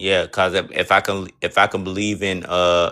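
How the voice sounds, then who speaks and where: In a Southern US accent, a bright, sharp tone delivers monotone, flat intonation at a fairly slow pace on a very clean recording with a silent background. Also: man. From US South. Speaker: caller on a debate stream. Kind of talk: religious debate. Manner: halting, repeats words often.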